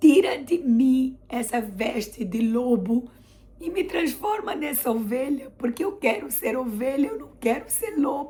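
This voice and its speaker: Very slowly, a woman with a Brazilian accent speaks at a high pitch. Her pitch swings are very wide. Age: 40s. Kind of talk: religious testimony vlog.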